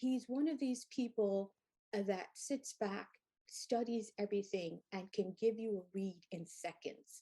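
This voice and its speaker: A woman's dark, mellow tone at a fairly high pitch and fairly slow pace. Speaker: educator and life coach. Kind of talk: interview conversation. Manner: loud.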